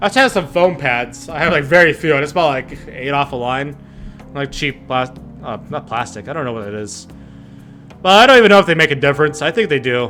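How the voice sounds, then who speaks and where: Music plays in the background as a man talks at a fairly quick pace with lively intonation. His voice is fairly high in pitch, with big swings in loudness. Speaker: gaming youtuber. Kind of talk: let's play commentary with dialogue read aloud. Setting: home bedroom recording. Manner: casual, halting with fillers. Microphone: bedroom echo, few foam pads.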